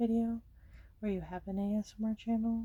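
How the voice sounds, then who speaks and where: A woman speaks with an American accent at a moderate pace, in a dark, mellow tone. Her intonation is monotone and flat, and her voice is somewhat breathy. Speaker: ASMR creator. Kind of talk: ASMR coloring chat. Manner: casual, rambling filler words.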